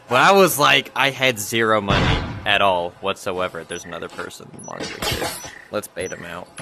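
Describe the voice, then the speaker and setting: Music plays in the background while the voice swings widely in loudness. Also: man, fairly low pitch for a man, ordinary pitch variation, moderate pace. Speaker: gaming YouTuber. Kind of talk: casual gameplay commentary. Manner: animated.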